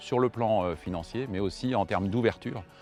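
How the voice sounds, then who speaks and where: Music plays in the background as a man talks. His pace is fairly quick, and his pitch varies in an ordinary way. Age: 50s. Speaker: farmer. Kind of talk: testimony.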